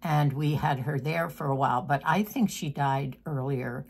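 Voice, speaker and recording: A woman speaks at a fairly slow pace in a somewhat breathy voice with ordinary pitch variation. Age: 80s+. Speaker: lifestyle vlogger. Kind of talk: casual chat. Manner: halting.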